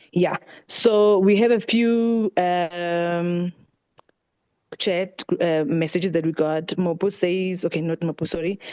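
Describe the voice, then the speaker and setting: The tone is dark and mellow, and the pace is very slow. The sound is dry and close, with no echo. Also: woman, fairly low pitch for a woman, fairly even intonation. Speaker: book club session leader. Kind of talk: online group meeting wrap-up.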